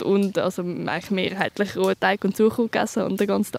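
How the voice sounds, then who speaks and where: Fairly quick and fairly even in intonation, a woman talks in an unremarkable speaking voice at medium pitch. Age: 20s. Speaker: soldier. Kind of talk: field interview.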